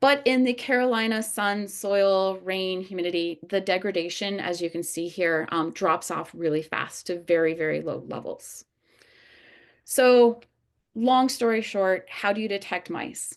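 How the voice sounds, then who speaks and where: Quiet background behind a woman at a medium pitch, fairly slow pace and ordinary pitch variation. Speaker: biology professor and researcher. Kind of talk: lecture. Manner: animated.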